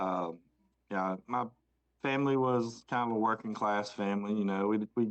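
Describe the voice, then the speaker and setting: A man speaks in a Southern US accent at a moderate pace. His pitch is fairly low and his intonation fairly even. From US South, Rock Hill, South Carolina. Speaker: podcast co-host. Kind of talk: casual chat.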